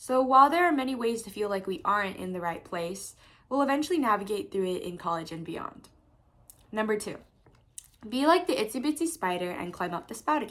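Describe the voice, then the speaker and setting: A woman's fairly high voice at a fairly quick pace, with very wide pitch swings and big swings in loudness. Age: young. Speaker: recent high school graduate vlogger. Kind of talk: speech; casual chat. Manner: fast.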